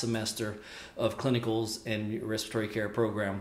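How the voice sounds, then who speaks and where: Audible room echo colors the speech of a man. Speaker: respiratory care educator. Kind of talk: casual vlog chat. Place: home room.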